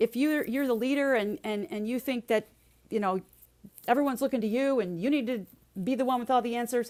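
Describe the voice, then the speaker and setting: A woman's high-pitched voice moves at a fairly quick pace with ordinary pitch variation. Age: 60s. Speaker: resilience speaker and leadership coach. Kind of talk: podcast interview.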